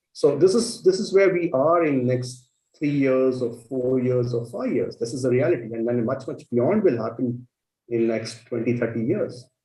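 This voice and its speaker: A man with an Indian accent speaks at a moderate pace and medium pitch, his dark, mellow tone somewhat breathy, with ordinary pitch variation. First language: Marathi. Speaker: panel moderator. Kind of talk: panel discussion.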